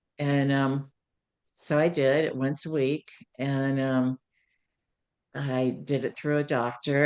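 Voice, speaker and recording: A woman with an American accent speaks at a very deep, low pitch. Her intonation is monotone and flat. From US, West Virginia. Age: 60s. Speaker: program member sharing weight loss story, nurse. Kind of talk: interview testimony. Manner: hesitant, many fillers.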